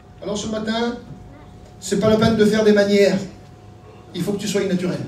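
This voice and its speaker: A man with a high voice talks at a fairly quick pace in a monotone, flat delivery. Noticeable background noise and audible room echo fill the recording. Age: 60s. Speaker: pastor. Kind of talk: sermon.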